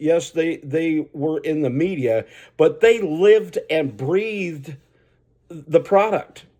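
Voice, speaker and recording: At a fairly slow pace, a man speaks with a fairly high pitch, lively intonation and a dark, mellow tone in a very clean recording with a silent background. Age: 60s. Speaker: racing commentary vlogger. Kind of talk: casual opinion monologue. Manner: rambling, halting with repetitions.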